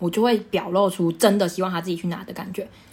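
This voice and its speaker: Speaking at a very fast pace with ordinary pitch variation, the voice carries a Taiwanese accent over noticeable background noise. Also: woman. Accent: Taiwanese Mandarin. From Taiwan, Taichung. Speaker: podcast host, fashion retail worker. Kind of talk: casual chat.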